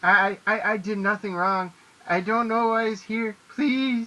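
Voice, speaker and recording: A put-on character voice sounds shrill with a fairly high pitch. It moves at a fairly slow pace. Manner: pleading, frightened.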